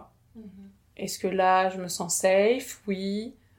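On a very clean recording with a silent background, a woman speaks at a medium pitch with monotone, flat intonation. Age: 30s. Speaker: abuse survivor sharing her story. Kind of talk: testimony. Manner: halting.

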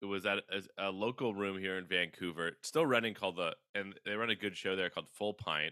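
A man speaks at a fairly low pitch and a fairly quick pace in a bright, sharp tone. The sound is dry and close, with no echo. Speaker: comedian and cartoonist. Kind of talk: casual interview chat. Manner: calm, laid-back.

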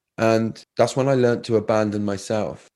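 This is a man speaking. His pitch is fairly low. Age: 30s. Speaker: resilience coach. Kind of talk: personal testimony in interview.

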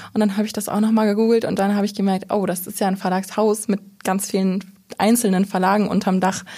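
A woman's medium-pitched, somewhat breathy voice with a dark, mellow tone, very fast and monotone, with flat intonation. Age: 20s. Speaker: trainee in publishing. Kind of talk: casual interview.

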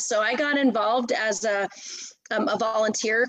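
A woman speaks in a plain, everyday voice at a fairly high pitch with ordinary pitch variation. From US, Washington D.C. area. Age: 40s. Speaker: triathlete and nonprofit director. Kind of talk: casual interview.

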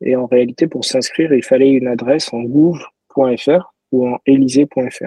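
Moving at a very slow pace with hardly any pauses, a man of medium pitch keeps his intonation fairly even. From France, Toulouse. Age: 30s. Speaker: ethical hacker, cybersecurity founder. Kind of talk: interview.

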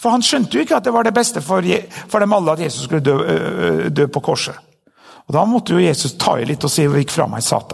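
Speaking at a fairly quick pace, a man with a fairly high pitch and vocal fry swings his pitch very widely. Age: 50s. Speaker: pastor. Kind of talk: sermon.

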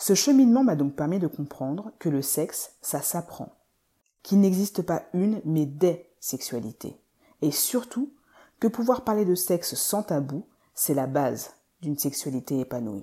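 In a very clean recording with a silent background, a woman with a dark, mellow tone speaks at a fairly slow pace with very wide pitch swings. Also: fairly low pitch for a woman. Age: 30s. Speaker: podcast host and physiotherapist. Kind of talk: scripted narration.

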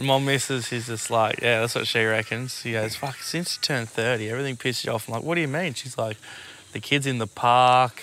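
Fairly even intonation and a fairly quick pace carry this voice with an Australian accent. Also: man, medium pitch for a man. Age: 30s. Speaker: podcast co-host. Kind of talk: casual chat. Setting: outdoors.

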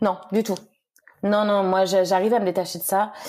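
A woman's dark, mellow voice at a medium pitch. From France, Le Mans (Sarthe). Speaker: trail runner. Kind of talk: casual interview.

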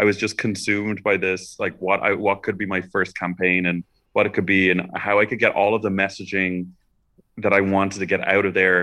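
A man with a Dublin accent talks at a fairly quick pace in a fairly low pitch, his tone bright and sharp. His intonation stays monotone and flat against a quiet background. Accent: Dublin Irish. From Ireland, Dublin. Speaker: celebrity hairstylist. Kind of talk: interview. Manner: halting, many fillers.

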